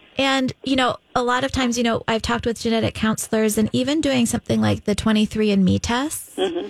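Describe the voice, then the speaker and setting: A woman with a plain, everyday voice speaks at a fairly high pitch with ordinary pitch variation and very even loudness, recorded dry and close with no echo. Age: 40s. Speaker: women's health clinic doctor. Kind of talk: casual chat.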